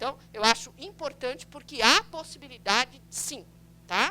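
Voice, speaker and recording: A woman speaks at a moderate pace with lively intonation. Her tone is bright and sharp. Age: 60s. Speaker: pediatrician and public health coordinator. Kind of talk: lecture. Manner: conversational, frequent tag questions.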